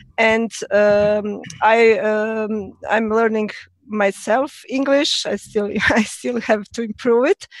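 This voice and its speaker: A very slow pace in a Croatian accent. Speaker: language teacher. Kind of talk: panel discussion. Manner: halting.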